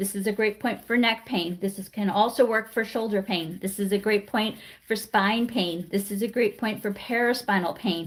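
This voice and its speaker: At a moderate pace, a somewhat breathy woman with fairly high pitch and fairly even intonation speaks with hardly any pauses. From Washington DC. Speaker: acupressure teacher. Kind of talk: live class instruction. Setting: livestream.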